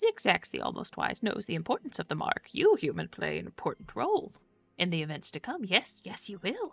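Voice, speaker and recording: A female-sounding, put-on character voice moves at a fairly quick pace. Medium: game stream. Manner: third-person speech, odd verbal tics.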